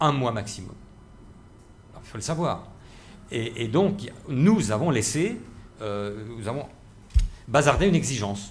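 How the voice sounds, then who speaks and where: With an Alsatian accent, a man speaks somewhat breathily at medium pitch and a fairly slow pace, with audible echo in the room. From Alsace, Strasbourg. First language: Alsatian (speaking French). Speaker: university president, linguist. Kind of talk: panel debate. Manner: halting, many fillers and repetitions.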